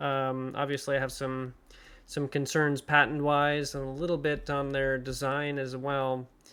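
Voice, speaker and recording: A man with a fairly high pitch talks at a moderate pace in a flat monotone. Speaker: engine design enthusiast. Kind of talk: casual technical talk to camera.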